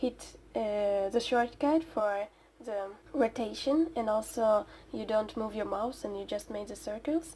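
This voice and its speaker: A quiet woman's voice, dark and mellow in tone, fairly high in pitch, fairly slow, with ordinary pitch variation. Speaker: digital artist. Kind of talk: speedpaint voiceover commentary. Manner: halting.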